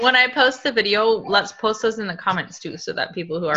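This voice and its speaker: Noticeable background noise runs under this recording. A woman at a medium pitch talks at a fairly quick pace. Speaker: participant on business call. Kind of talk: casual group call.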